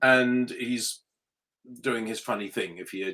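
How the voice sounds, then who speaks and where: A man with an English accent. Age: 60s. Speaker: motorsport journalist. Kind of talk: interview.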